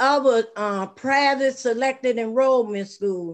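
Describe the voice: Speaking slowly, a woman uses a fairly high-pitched voice.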